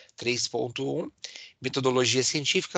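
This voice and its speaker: A man with a fairly high voice and ordinary pitch variation speaks at a moderate pace, the sound dry and close with no echo over a quiet background. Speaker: university lecturer. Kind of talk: online lecture. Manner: animated.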